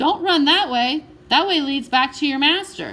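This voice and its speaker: A woman puts on a character voice with a high pitch and a moderate pace. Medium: read story. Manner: smooth, ingratiating.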